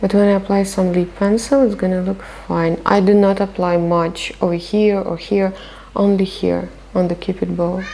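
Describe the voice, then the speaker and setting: A woman with a non-native accent speaks at medium pitch in a monotone, flat intonation. Noticeable background noise can be heard. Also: moderate pace. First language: not English. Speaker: makeup artist. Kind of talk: makeup tutorial. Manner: casual, conversational with hesitations.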